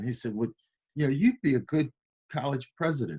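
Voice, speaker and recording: A man speaks with a US Midwestern accent over a quiet background. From Iowa, US Midwest. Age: 60s. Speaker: university chancellor. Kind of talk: interview.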